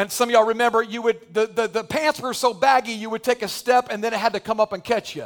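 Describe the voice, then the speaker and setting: With music in the background and a dry, close sound with no echo, a man at an extremely high pitch talks at a very fast pace in an animated tone, with hardly any pauses. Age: 40s. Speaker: pastor. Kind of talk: sermon.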